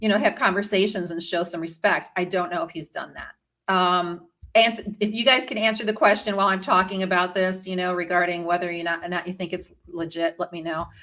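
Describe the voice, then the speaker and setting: Bright and sharp in tone, a woman talks at a medium pitch and a fairly quick pace, with fairly even intonation and hardly any pauses. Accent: American. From US Midwest, Chicago area. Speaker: royal news and history vlogger. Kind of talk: casual live-stream commentary. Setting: live stream. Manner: chatty, many fillers and restarts.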